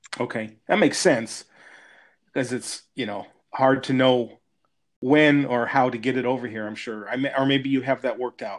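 A man speaks with an American accent at a moderate pace, his pitch medium and his intonation fairly even. It is a plain, everyday voice. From US. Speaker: podcast host. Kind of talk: casual interview chat. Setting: remote call.

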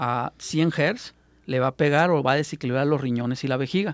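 At a moderate pace, a man with an ordinary speaking voice and a fairly high pitch keeps his intonation fairly even, in a dry, close sound with no echo on a very clean recording with a silent background. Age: 20s. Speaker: alternative health therapist. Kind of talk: radio interview. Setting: radio studio.

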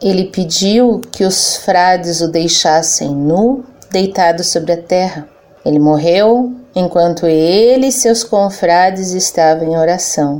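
Noticeable background noise sits behind a woman of medium pitch who talks at a very slow pace, with ordinary pitch variation and very even loudness. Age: 40s. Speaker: secular Franciscan, civil servant. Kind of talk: religious interview reflection.

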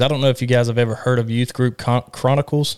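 A man's medium-pitched, monotone, flat delivery in a Southern US accent, recorded very cleanly against a silent background. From Alabama. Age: 20s. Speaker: podcast host and church youth leader. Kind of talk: casual chat.

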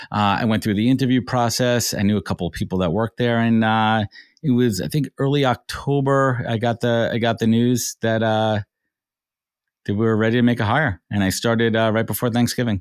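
A man uses a plain, everyday voice with an American accent, medium pitch, fairly even intonation and a fairly quick pace. The recording is very clean with a silent background and a dry, close sound with no echo. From New York. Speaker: recruiter and business founder. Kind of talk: interview.

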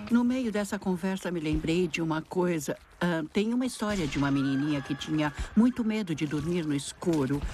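With lively intonation, a woman talks in a plain, everyday voice. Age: 60s. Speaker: writer. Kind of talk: casual chat.

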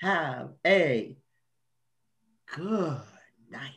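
A put-on character voice, raspy and pitched in the middle range. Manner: threatening.

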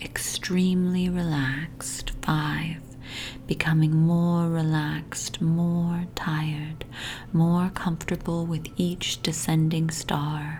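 A woman's very deep, low voice, monotone and flat, at a very slow pace amid noticeable background noise. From Toronto, Canada. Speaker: hypnotist. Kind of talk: guided hypnosis meditation for sleep. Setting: home recording with family noise in the background. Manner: slow, soothing, hypnotic repetition; soft, calm and gently paced.

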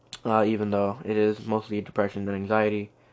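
A man talks at a fairly quick pace with a fairly low pitch. His intonation is monotone and flat, and his tone is slightly mellow.

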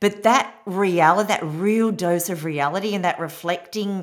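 At a fairly slow pace, a woman with a fairly low pitch and an Australian accent speaks with ordinary pitch variation. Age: 50s. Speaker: podcast host, women's empowerment coach. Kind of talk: solo podcast monologue.

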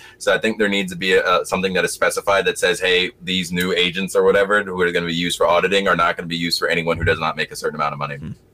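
Talking at a very fast pace with hardly any pauses, a man with an American accent is heard over noticeable background noise. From US South. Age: 20s. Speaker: podcast guest. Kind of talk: casual political discussion. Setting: home bedroom, video call.

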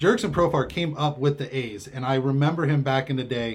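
A man's somewhat breathy voice, fairly high in pitch, at a moderate pace with ordinary pitch variation. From California, Bay Area. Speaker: sports radio commentator. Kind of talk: casual sports chat. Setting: home studio.

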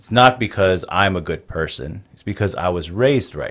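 A man speaks with a Navajo Nation accent on a very clean recording with a silent background. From Navajo Nation, US Southwest. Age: 30s. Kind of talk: interview conversation, storytelling.

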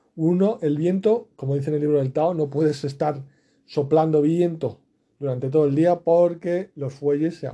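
At a moderate pace, a man with a fairly high pitch and a dark, mellow tone speaks with ordinary pitch variation. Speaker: podcaster. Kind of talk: daily monologue podcast. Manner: low energy; hesitant.

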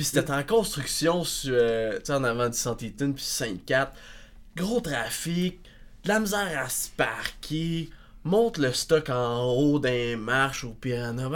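Lively intonation at a very slow pace, on a very clean recording with a silent background. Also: man, fairly high pitch for a man. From Quebec, northern Laurentides village. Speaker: progressive metal musician. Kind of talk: casual chat.

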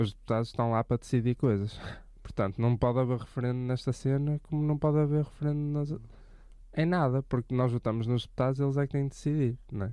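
A man's dark, mellow, medium-pitched voice at a very fast pace with fairly even intonation. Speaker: podcast co-host. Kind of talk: casual chat.

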